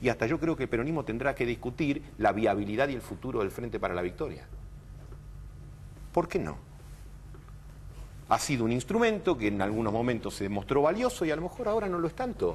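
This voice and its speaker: Pausing long and often, a man with a medium pitch swings very widely in pitch. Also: fairly quick pace. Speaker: political commentator. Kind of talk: TV political interview.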